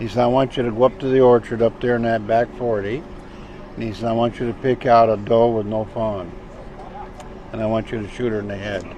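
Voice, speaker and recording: Amid noticeable background noise, a man talks at a fairly quick pace in a flat monotone, with long, frequent pauses. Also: medium pitch for a man. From Vermont. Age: 70s. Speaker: hunter. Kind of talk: casual storytelling interview.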